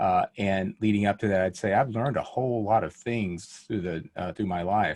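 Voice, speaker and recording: A man with a plain, everyday voice talks fairly quickly at a fairly low pitch, his intonation fairly even. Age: 60s. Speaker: pediatric endocrinologist and author. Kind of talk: interview conversation.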